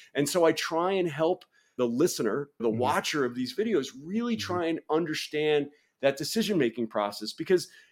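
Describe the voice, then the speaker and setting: On a very clean recording with a silent background, a man with an American accent and a plain, everyday voice talks at a fairly quick pace, fairly high in pitch with lively intonation. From US Northeast, New York City. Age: 40s. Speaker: referee and content creator. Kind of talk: casual chat.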